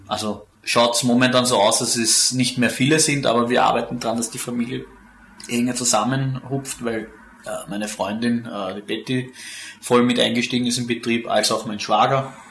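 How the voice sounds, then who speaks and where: Noticeable background noise sits under a man's voice. He speaks at a moderate pace in a monotone, flat intonation. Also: medium pitch for a man. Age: young. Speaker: winemaker. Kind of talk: interview.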